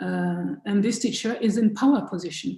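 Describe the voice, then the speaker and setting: Speaking at a moderate pace in a French accent, a woman of medium pitch sounds somewhat breathy, with a dark, mellow tone. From France. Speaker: choir director and musicologist. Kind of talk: interview. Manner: halting.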